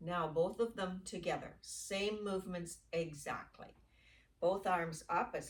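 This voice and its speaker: At a fairly slow pace, a woman speaks at medium pitch, somewhat breathy, with ordinary pitch variation. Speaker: yoga instructor. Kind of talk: guided exercise class. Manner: slow, deliberate pacing.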